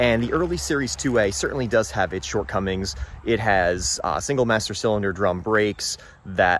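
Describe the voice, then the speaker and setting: A man talks at a moderate pace. The sound is dry with no echo, over light background noise. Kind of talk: casual explanatory walkthrough. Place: garden. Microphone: phone near.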